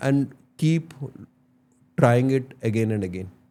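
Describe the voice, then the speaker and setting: A man speaks slowly with an Indian accent, his tone dark and mellow. His intonation is lively, and the recording is very clean, with a silent background. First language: Tulu. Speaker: entrepreneur and podcaster. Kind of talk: interview, Hindi-English code-switching.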